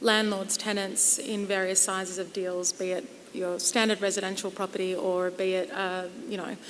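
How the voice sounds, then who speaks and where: With an Australian accent, a woman talks at a moderate pace in a medium pitch, her intonation monotone and flat, and audible room echo surrounds her voice. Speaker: property lawyer. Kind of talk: conference panel discussion.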